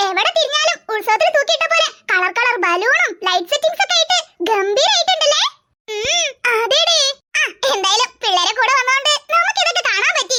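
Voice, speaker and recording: A squeaky, cartoonish character voice sits at an extremely high pitch with very wide pitch swings. It moves at a moderate pace. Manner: chatty, gossipy.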